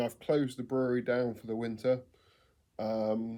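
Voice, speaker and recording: A man with an English accent, medium pitch, a dark, mellow tone and a fairly slow pace. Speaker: home brewer vlogger. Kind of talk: casual vlog monologue. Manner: hesitant with many ums.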